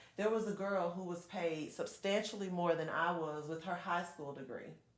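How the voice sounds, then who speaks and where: A woman with a fairly low pitch speaks in an animated tone at a moderate pace, with ordinary pitch variation and audible room echo. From Georgia, US South (Perry). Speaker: congressional candidate. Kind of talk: interview. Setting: studio.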